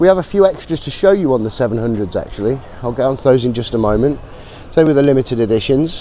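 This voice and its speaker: Noticeable background noise sits behind a man talking at a very fast pace in a medium pitch with lively intonation. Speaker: motorcycle brand representative. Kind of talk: trade show walkaround presentation.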